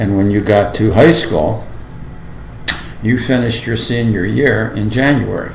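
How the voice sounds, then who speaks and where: A man with an American accent speaks at a fairly low pitch, with long, frequent pauses. Noticeable background noise and audible room echo are present. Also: ordinary pitch variation. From Lorain, Ohio (US Midwest). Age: 70s. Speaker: school board member. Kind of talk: oral history interview. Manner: halting.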